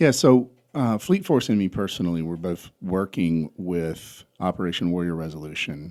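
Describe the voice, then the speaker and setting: A man with a Southern US accent talks at a moderate pace in a very deep, low pitch and a dark, mellow tone, with ordinary pitch variation. The recording is very clean, with a silent background. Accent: Southern US (South Georgia). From US South, South Georgia. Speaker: entrepreneur and trucking company founder. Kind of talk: podcast interview.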